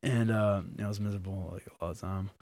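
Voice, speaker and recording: A man with an American accent speaks at a fairly quick pace in a fairly low pitch, with a dark, mellow tone and fairly even intonation, on a very clean recording with a silent background. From Massachusetts, Abington near Boston. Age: 20s. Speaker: professional MMA fighter. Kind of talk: casual interview chat.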